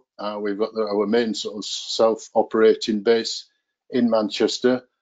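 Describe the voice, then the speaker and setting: A quiet background behind a man's fairly slow pace. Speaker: guest. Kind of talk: presentation. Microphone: video call.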